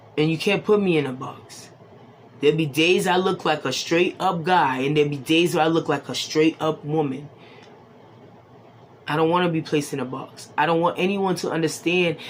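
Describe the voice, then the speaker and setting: Very deep, low pitch from a woman, fairly even intonation, and a moderate pace. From Boston, Massachusetts, Haitian family. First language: Haitian Creole. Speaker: tarot reader. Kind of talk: casual talk to camera.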